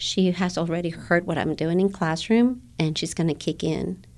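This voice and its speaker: This woman has a fairly low pitch, ordinary pitch variation, a dark, mellow tone and a Guatemalan accent. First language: Spanish. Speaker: elementary Spanish teacher. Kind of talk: interview. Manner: hesitant, with fillers.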